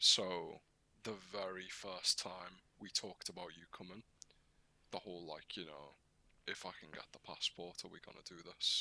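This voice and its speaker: The voice is quiet, bright and sharp, moving at a moderate pace with monotone, flat intonation and big swings in loudness. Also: man, very deep, low pitch for a man. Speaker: podcast co-host. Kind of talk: casual chat. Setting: live-streamed podcast. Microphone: too quiet for listeners.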